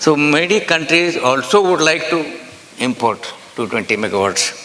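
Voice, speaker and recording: Noticeable background noise sits behind a man speaking with an Indian accent. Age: 80s+. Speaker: nuclear energy expert. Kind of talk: conference talk.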